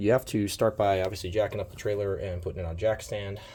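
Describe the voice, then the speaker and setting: A man talks very fast in a fairly low, somewhat breathy voice. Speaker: amateur trailer owner. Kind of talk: DIY tutorial talk to camera. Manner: casual, hesitant.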